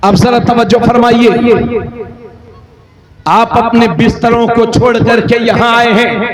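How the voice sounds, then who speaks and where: Amid noticeable background noise, a man talks at an extremely high pitch in a monotone, flat intonation. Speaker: Islamic cleric. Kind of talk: religious sermon. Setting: outdoor religious gathering.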